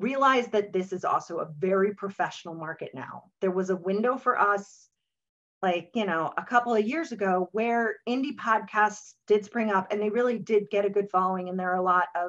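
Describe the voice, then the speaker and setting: A woman speaks at a moderate pace with a medium pitch. Her pitch variation is ordinary. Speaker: podcaster and webinar speaker. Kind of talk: webinar talk. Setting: webinar. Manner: many vocalized pauses.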